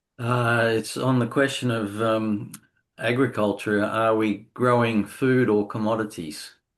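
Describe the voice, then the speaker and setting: Against a quiet background, a man with an Australian accent speaks at a fairly slow pace in a medium pitch, with monotone, flat intonation and very even loudness. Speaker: session moderator. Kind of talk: casual chat.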